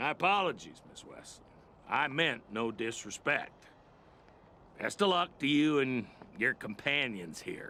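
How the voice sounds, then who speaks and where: Doing a raspy put-on character voice at a fairly high pitch, a man speaks at a moderate pace with lively intonation, big swings in loudness and long, frequent pauses. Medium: machinima. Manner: gruff, sardonic.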